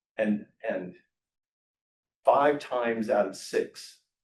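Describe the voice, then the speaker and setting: This is a man's voice. He has an American accent. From USA. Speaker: software entrepreneur and speaker. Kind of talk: talk to a live audience. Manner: casual, with frequent hesitations and repeated words.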